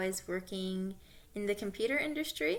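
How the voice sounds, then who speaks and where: A woman speaks at medium pitch with lively intonation. Her tone is bright and sharp. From Southern California. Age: 20s. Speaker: graduate student. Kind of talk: self-introduction. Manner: casual, some hesitations.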